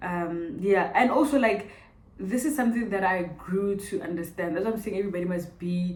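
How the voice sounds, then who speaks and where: A woman with a Botswana accent, medium pitch, ordinary pitch variation and a fairly quick pace, amid noticeable background noise and audible room echo. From South Africa, Pretoria. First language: Setswana. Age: 20s. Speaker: vlogger. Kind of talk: casual Q&A vlog. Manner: animated.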